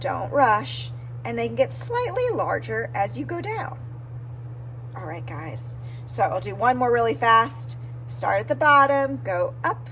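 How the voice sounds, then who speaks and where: A woman speaks at a very deep, low pitch. Her pace is moderate, with audible room echo. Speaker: art teacher. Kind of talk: tutorial.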